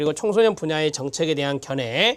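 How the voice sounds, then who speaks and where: Speaking at a fairly quick pace, a man makes very wide pitch swings. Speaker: lecturer for certification exam prep. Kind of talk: lecture.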